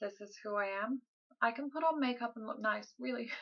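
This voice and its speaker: This voice is soft-spoken, with ordinary pitch variation. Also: woman. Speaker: vlogger. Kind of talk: casual vlog update. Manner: quiet, soft-spoken.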